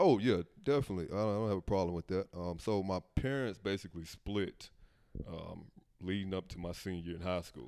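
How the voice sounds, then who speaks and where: A man with an American accent speaks at a fairly quick pace, his very deep, low pitch and dark, mellow tone showing ordinary pitch variation. The recording is very clean, with a silent background. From US South (Memphis, Tennessee). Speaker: software developer. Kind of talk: interview. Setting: living room.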